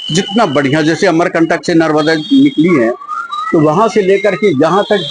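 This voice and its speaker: A man with a high pitch speaks with lively intonation over noticeable background noise. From Mandla, Madhya Pradesh, India. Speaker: local resident. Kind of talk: interview.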